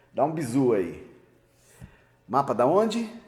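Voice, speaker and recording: A man speaks in a dark, mellow tone with vocal fry. His pitch swings very widely, and room echo is audible. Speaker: university professor. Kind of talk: lecture. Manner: halting, with fillers; casual, joking.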